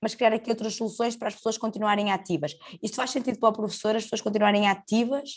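Speaking at a very fast pace, a woman with a fairly high pitch sounds somewhat breathy. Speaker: podcast host. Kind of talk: interview.

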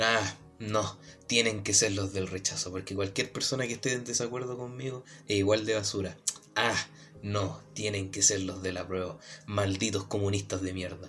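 A man's fairly low voice with a Chilean accent, fairly even intonation and a moderate pace. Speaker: podcast co-host. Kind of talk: casual chat.

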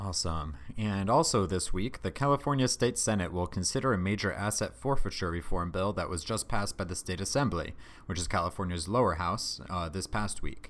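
On a very clean recording with a silent background, a man with a very deep, low voice and vocal fry speaks at a fairly quick pace with lively intonation. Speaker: podcast host. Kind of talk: casual podcast chat.

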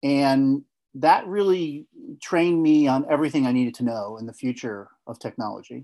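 In an American accent, a man speaks with a dark, mellow tone. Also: quiet background. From New Jersey, near New York City. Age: 50s. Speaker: tech company founder. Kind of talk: interview. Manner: halting.

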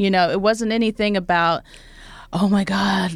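A woman talks with an Oklahoma accent. Her tone is animated. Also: very clean recording, silent background. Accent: Oklahoman Southern US. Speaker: actor and talk show host. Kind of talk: casual interview chat. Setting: studio. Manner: animated, laughs often.

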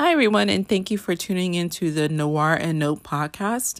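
A woman's lively intonation at a moderate pace, in a very clean recording with a silent background. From New York. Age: 30s. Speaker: podcast host. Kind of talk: casual monologue.

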